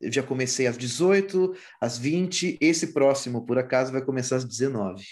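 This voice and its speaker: A man speaks in a plain, everyday voice at a medium pitch. His pace is fairly slow, his intonation lively. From Brazil, interior of São Paulo state. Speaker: musician. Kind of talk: casual interview.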